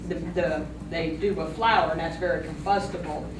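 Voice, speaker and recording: With fairly even intonation, a woman speaks in a fairly low voice amid audible room echo and noticeable background noise. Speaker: township trustee. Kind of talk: public meeting statement. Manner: halting.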